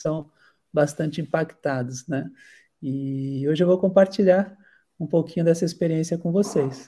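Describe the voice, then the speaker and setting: Fairly slow and broken by long, frequent pauses, a man's fairly high-pitched voice carries a dark, mellow tone. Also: ordinary pitch variation. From Santos, São Paulo coast, Brazil. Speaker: marine biologist and researcher. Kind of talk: online lecture.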